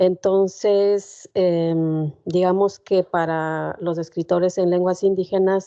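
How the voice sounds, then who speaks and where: Her voice is dark and mellow, monotone and flat in intonation. The woman speaks at a very slow pace. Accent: Ecuadorian. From northern Ecuador, Otavalo. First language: Kichwa (speaking Spanish). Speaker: poet. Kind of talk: guest talk at a seminar.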